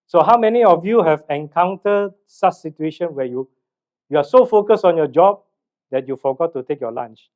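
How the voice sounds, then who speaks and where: A loud, high-pitched male voice, fairly quick, with lively intonation. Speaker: mental health trainer and speaker. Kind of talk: seminar talk. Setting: hall with live audience, mic.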